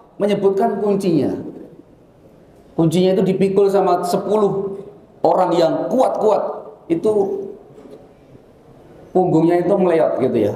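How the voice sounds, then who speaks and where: This voice moves at a fairly slow pace with fairly even intonation. Audible room echo surrounds it. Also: man. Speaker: religious teacher. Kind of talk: sermon. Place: church. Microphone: headset.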